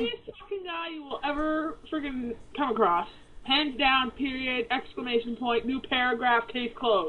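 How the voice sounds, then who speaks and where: Against noticeable background noise, a woman talks at a moderate pace in a high voice with lively intonation. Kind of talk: casual radio show talk.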